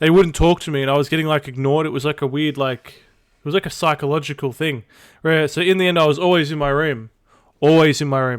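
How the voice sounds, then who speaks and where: Speaking with an Australian accent, a man with a fairly high pitch keeps a fairly quick pace and fairly even intonation. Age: 20s. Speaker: streamer. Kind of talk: casual chat. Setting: live stream.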